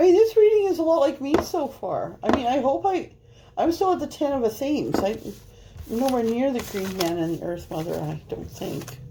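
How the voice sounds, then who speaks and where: Against noticeable background noise, a woman with a Canadian prairie accent talks at a moderate pace and high pitch, with very wide pitch swings. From Canada. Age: 50s. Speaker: tarot reader. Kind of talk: tarot reading monologue. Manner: rambling casual chatty.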